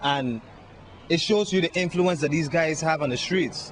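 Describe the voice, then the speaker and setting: A plain, everyday voice with an American accent, ordinary pitch variation, and a fairly quick pace. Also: man. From US Virgin Islands. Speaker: musician. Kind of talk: interview.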